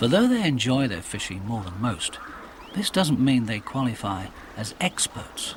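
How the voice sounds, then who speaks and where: Amid noticeable background noise, a man with a medium pitch speaks in a calm, gentle tone, his pitch swinging very widely. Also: moderate pace. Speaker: documentary narrator. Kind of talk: nature documentary narration.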